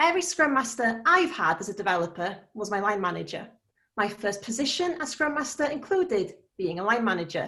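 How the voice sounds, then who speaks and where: A woman with a Welsh accent has a bright, sharp tone and fairly high pitch, moving at a fairly quick pace. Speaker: scrum master. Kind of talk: conference talk. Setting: meetup lightning talk.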